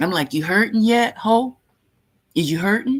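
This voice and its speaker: An animated tone at a moderate pace. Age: 50s. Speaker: vlogger. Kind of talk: casual vlog talk.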